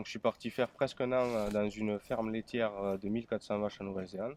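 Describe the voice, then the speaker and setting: A man speaks with fairly even intonation. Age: 20s. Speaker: dairy farmer. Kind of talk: interview. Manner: halting.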